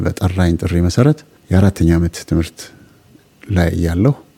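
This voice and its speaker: Ordinary pitch variation shapes a voice of dark, mellow tone. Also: man. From Ethiopia, Gondar region. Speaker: former army officer, refugee. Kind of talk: life story interview. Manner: halting.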